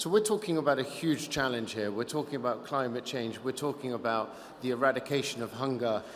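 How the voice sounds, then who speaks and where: A man at a medium pitch talks against noticeable background noise. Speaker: investor. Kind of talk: panel discussion.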